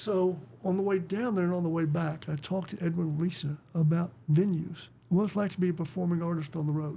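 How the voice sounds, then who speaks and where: This man's dark, mellow tone sits at a high pitch for a man, and he talks at a fairly quick pace with a Texan accent. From West Texas. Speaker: conservationist, author and performer. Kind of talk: casual interview chat. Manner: animated storytelling.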